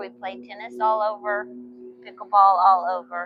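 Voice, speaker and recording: Someone talks at a fairly slow pace with a Texan accent. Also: woman. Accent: Texan, stronger than husband's. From Texas. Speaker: YouTube host. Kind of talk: casual chat.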